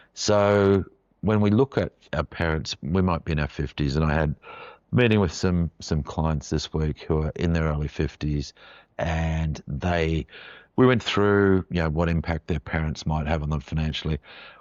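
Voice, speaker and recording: With an Australian accent, a man talks at a moderate pace with a very deep, low pitch and ordinary pitch variation. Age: 60s. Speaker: financial adviser, podcast host. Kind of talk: podcast explainer monologue. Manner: casual, with frequent fillers.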